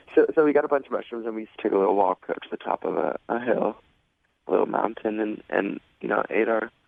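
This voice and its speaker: A man talks at a fairly quick pace. Long pauses come often. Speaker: caller on radio dating segment. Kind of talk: radio call-in conversation. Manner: laid back; halting, repeats words.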